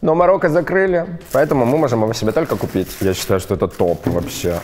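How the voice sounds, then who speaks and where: Over light background noise, a man talks at a fairly quick pace with very wide pitch swings. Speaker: fashion YouTuber. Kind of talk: casual unboxing vlog. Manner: animated. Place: studio. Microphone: lapel.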